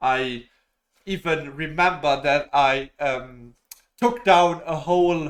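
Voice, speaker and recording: A man with a non-native accent and a fairly high pitch talks with ordinary pitch variation. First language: not English. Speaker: YouTuber. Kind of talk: casual monologue. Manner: halting, many fillers.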